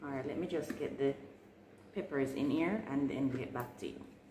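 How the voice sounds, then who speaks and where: A woman's voice, with ordinary pitch variation and a moderate pace, carries audible room echo and noticeable background noise. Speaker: home gardener vlogger. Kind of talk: tutorial. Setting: at home, early morning. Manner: soft-spoken.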